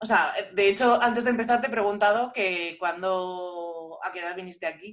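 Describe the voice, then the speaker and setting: This woman has a normal speaking voice at medium pitch with ordinary pitch variation. She keeps a moderate pace, and her loudness swings a lot. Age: 30s. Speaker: podcast host and language teacher. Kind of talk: casual chat.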